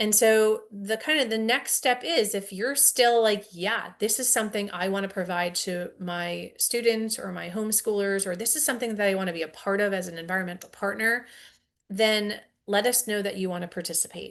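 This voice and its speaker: A plain, everyday voice keeps a moderate tempo and ordinary pitch variation, with a quiet background behind it. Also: woman, medium pitch for a woman. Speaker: science educator. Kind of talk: webinar presentation.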